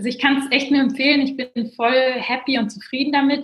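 A woman's high-pitched voice carries fairly even intonation. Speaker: management consultant and finance blogger. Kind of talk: casual interview.

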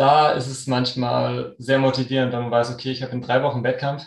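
This man's voice sits at a medium pitch and is somewhat breathy. His intonation stays flat and monotone. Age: 30s. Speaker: sports scientist and runner. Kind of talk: podcast interview.

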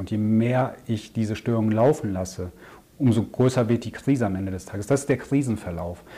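Fairly quick in pace and ordinary in pitch variation, this is an ordinary speaking voice. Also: man. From Germany, Ruhr area. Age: 40s. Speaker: crisis and growth consultant. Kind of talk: interview.

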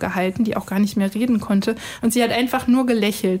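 Noticeable background noise sits behind this voice. A woman speaks at a fairly high pitch. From Cologne. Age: 30s. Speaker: biostatistician. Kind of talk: testimony.

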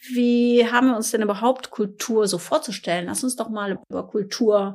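At a middling pace comes a normal speaking voice. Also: woman. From Ruhr area, Germany (Essen). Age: 50s. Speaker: corporate podcast co-host. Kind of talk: casual chat. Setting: company office.

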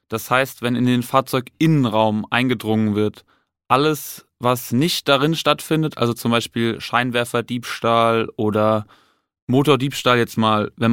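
Recorded very cleanly with a silent background and a dry, close sound with no echo, a man with an unremarkable speaking voice talks at medium pitch and a moderate pace with fairly even intonation. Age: 20s. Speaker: police detective. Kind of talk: casual interview. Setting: studio.

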